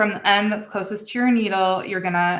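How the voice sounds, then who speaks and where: Her bright, sharp tone flat and monotone in intonation, a woman speaks with audible room echo. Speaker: beading instructor. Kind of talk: tutorial. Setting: home studio with camera and lighting.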